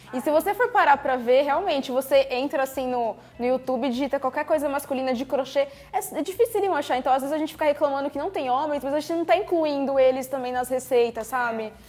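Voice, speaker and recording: Against noticeable background noise, a woman with a high pitch speaks at a very fast pace with ordinary pitch variation. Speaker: craft youtuber and podcast host. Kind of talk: casual chat.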